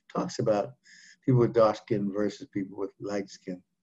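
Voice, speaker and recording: This man has a plain, everyday voice of fairly low pitch. His pitch varies in an ordinary way. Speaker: physician leading group session. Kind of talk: group discussion on health. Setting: video call.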